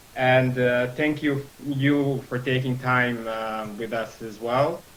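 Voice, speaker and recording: Speaking very slowly with a Serbian accent, a man uses a medium pitch and fairly even intonation over noticeable background noise. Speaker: lawyer. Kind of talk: legal briefing in a meeting. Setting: video call. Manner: halting, many fillers.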